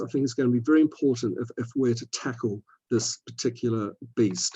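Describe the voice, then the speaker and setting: With an Antipodean accent, a man speaks in a dark, mellow tone with ordinary pitch variation, and the sound is dry and close with no echo. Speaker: scientist, physiology society representative. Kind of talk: webinar talk. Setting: online webinar. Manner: repetitive hesitations.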